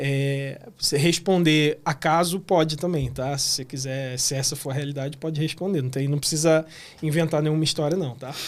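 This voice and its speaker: A man with an unremarkable speaking voice, fairly high pitch and fairly even intonation, at a moderate pace. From Rio de Janeiro, Brazil. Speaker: podcast host. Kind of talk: podcast interview. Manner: casual, friendly.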